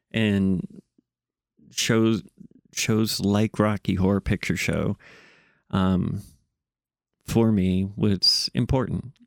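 In a very clean recording with a silent background and a dry, close sound with no echo, a man with a fairly low pitch speaks at a very slow pace, with very even loudness, fairly even intonation and long, frequent pauses. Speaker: podcast host. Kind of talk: solo casual monologue. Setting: home studio, recorded for video. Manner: rambling, casual, filler words.

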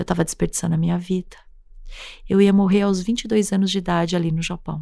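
Her voice fairly low with a dark, mellow tone, a woman speaks at a fairly quick pace with fairly even intonation. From Brazil, Japanese-Brazilian family. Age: 40s. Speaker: podcaster. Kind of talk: personal storytelling.

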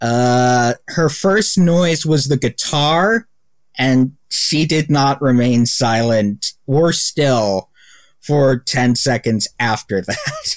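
Very slow in pace, a man with a medium pitch uses lively intonation while keeping his loudness very even. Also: dry, close sound with no echo, very clean recording, silent background. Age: 20s. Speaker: podcast co-host. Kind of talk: casual chat.

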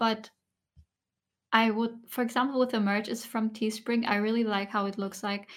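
At a moderate pace, a soft-spoken woman talks with monotone, flat intonation and long, frequent pauses in a very clean recording with a silent background. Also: fairly high pitch for a woman. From Germany. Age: 20s. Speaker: ASMR content creator. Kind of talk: soft-spoken podcast interview.

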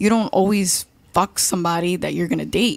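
In a normal speaking voice, a woman talks at fairly low pitch with ordinary pitch variation. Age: 20s. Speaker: panel guest. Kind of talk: casual panel debate. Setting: studio.

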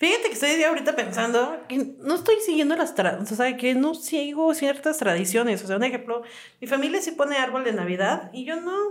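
A woman talks at a fairly quick pace in a high pitch, her voice making very wide pitch swings. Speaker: podcast co-host. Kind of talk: casual chat. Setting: studio.

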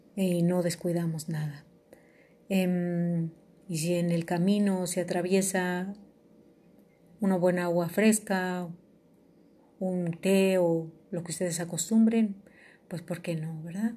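In a dark, mellow tone, a somewhat breathy woman with a fairly low pitch speaks at a very slow pace in a flat monotone, with long, frequent pauses. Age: 50s. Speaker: podcast host. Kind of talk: personal monologue. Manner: halting.

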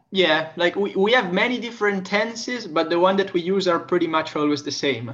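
A man with an Italian accent speaks in a high voice with lively intonation. He keeps a moderate pace and hardly pauses. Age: 20s. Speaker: language teacher. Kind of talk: casual interview. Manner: hesitant with repetitions.

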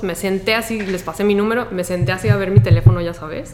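A medium-pitched woman's voice at a fairly quick pace with very wide pitch swings, plus noticeable background noise and audible room echo. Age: 40s. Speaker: environmental activist and beach cleanup coordinator. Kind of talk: casual chat. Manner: animated.

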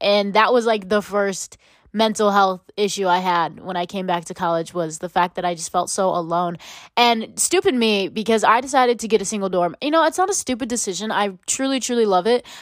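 A woman with a plain, everyday voice speaks at a medium pitch with ordinary pitch variation, recorded very cleanly against a silent background. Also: fairly quick pace. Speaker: podcast host. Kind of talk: solo podcast monologue, casual chat. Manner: rambling, casual, filler-heavy.

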